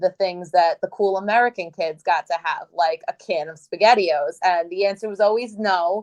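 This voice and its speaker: Speaking at a fairly quick pace, a woman with a plain, everyday voice and medium pitch keeps a fairly even intonation in a dry, close sound with no echo. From Brooklyn, New York, Italian-American family. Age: 30s. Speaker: cookbook author and web series host. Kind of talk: interview.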